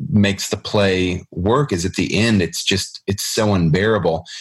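A man with an ordinary speaking voice talks at a fairly low pitch. His pace is fairly slow, with ordinary pitch variation. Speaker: podcast host. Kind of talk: casual chat about literature.

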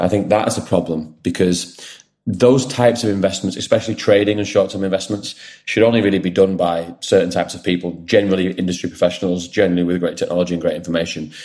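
A man with a very deep, low pitch and a dark, mellow tone talks at a very fast pace with fairly even intonation. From northern England (Wigan). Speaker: finance startup founder. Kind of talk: podcast interview.

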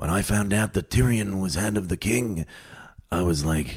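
The pace stays moderate. The voice is a put-on character voice. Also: man, very deep, low pitch for a man. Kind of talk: mimicking a character's voice.

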